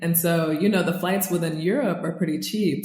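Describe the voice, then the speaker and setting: A woman speaks with an American accent at a fairly low pitch. Music plays in the background and the room echo is audible. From US South, North Carolina. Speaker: expat travel guest. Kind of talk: podcast interview.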